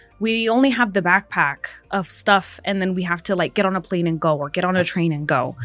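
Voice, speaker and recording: With music in the background, a woman speaks at medium pitch and a fairly quick pace. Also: ordinary pitch variation. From US West, Las Vegas. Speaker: gaming industry executive. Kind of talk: podcast interview. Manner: casual, filler-heavy.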